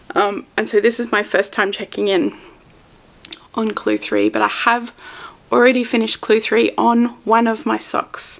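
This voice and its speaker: Speaking with an Australian accent at a moderate pace, the voice breaks often into long pauses. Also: woman. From Australia, Melbourne. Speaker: knitting podcaster. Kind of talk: casual vlog chat. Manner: casual with fillers.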